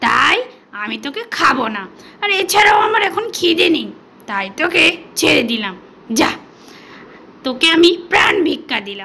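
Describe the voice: Putting on a character voice, a woman speaks high and slowly with a bright, sharp tone, vocal fry and big pitch swings.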